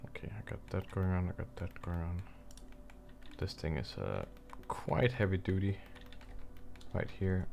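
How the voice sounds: A man mumbles in a low pitch with vocal fry, big pitch swings, and long, frequent pauses.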